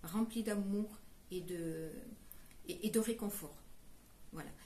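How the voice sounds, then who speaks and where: Audible room echo and noticeable background noise surround a woman's voice. She speaks at a fairly slow pace with fairly even intonation. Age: 70s. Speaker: caregiver and fundraiser. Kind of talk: charity presentation. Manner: hesitant, many fillers.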